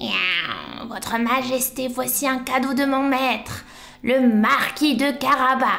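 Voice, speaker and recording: A put-on character voice, female-sounding and high-pitched for a woman, at a fairly slow pace over clear background noise. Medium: read story. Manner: punctuates speech with meows.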